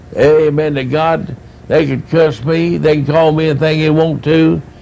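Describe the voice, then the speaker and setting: A man with an East Tennessee accent at a fairly slow pace, amid noticeable background noise. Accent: East Tennessee Southern American. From US South, East Tennessee (Knoxville area). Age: 60s. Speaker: evangelist. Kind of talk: testimony. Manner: animated.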